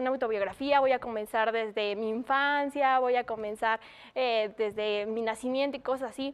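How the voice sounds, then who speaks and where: A woman speaks at a moderate pace. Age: 20s. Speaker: former award winner, university student; presenter. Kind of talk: talk giving tips on writing an autobiography. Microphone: webcam.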